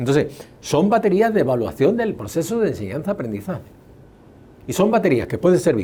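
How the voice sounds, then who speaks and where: A man's dark, mellow tone at a fairly quick pace. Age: 70s. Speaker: educational psychologist and test author. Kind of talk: interview.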